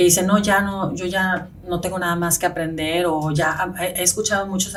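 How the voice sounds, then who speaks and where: With a Spanish accent, a woman speaks at a fairly low pitch with fairly even intonation and audible room echo. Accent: marked Spanish accent in English. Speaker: real estate agent. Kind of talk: interview.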